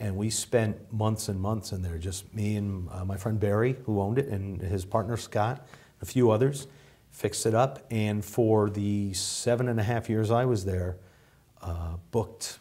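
At a fairly slow pace, a man with an American accent speaks in a fairly low pitch, his tone dark, mellow and somewhat breathy, his intonation fairly even. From US Northeast. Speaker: bar owner. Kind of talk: casual chat. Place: studio. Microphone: lapel.

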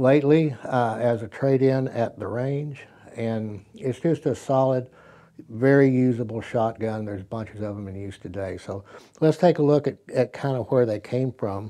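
A man's dark, mellow voice shows big swings in loudness and ordinary pitch variation over a quiet background. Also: moderate pace. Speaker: presenter. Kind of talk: tutorial. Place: studio.

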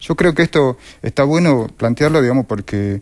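Against a quiet background, a man speaks at a moderate pace and medium pitch, with ordinary pitch variation. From Argentina. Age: 40s. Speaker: left-wing political candidate, sanitation worker; candidate. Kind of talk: political interview. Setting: TV studio. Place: studio.

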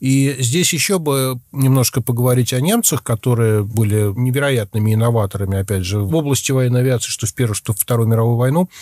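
Speaking at a fairly quick pace with hardly any pauses, a man with a medium-pitched, dark, mellow tone keeps ordinary pitch variation and very even loudness, recorded dry and close with no echo on a very clean track with a silent background. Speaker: journalist. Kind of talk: casual chat.

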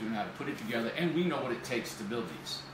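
Words come at a very fast pace over noticeable background noise, with audible room echo. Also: man. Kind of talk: casual livestream presentation. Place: office. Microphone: camera far.

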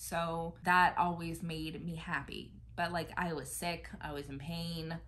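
A woman with an American accent speaks fairly slowly in a fairly low, monotone voice with vocal fry. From United States. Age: 20s. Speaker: YouTuber and military spouse; YouTuber. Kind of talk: casual chat. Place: home room. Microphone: phone near.

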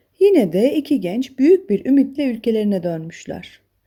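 At a moderate pace, a woman talks with lively intonation and a fairly high pitch. Her tone is dark and mellow, with a slightly husky edge.

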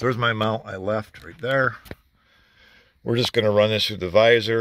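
A man's voice, dry with no echo, over light background noise. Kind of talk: casual tutorial commentary. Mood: gruff, joking. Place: car. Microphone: phone near.

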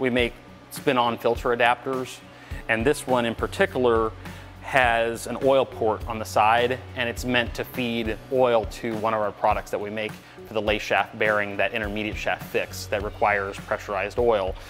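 Faint music sits behind a man speaking at a moderate pace. His intonation stays fairly even. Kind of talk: interview answer. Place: factory.

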